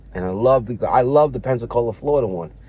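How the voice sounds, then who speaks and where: A man's somewhat breathy voice at a moderate pace, with very wide pitch swings. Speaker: vlogger. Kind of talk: casual vlog monologue. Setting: in a parked car. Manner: halting, many fillers and repeats.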